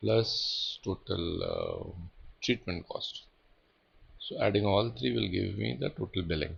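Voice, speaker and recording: A man talks at a fairly slow pace, with long, frequent pauses. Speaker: data analytics tutor. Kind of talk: tutorial. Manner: halting, many repetitions and fillers.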